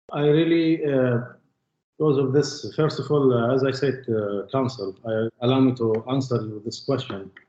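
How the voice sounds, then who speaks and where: The speaker has an Arabic accent and a moderate pace. Pitch variation is ordinary. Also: man, medium pitch for a man. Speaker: witness in court. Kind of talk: court testimony. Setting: courtroom. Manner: halting.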